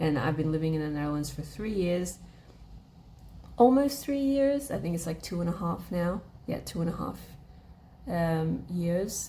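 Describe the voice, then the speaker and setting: Against audible room echo, a woman with an Australian accent talks in a somewhat breathy, fairly low voice with very wide pitch swings at a moderate pace, leaving long, frequent pauses. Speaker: vlogger, language learner. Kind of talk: casual chat. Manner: casual, many filler words.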